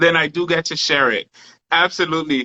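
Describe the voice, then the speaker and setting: Moderate pace, with a New York accent. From New York, the Bronx. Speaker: live stream host. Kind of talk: casual chat. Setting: live stream.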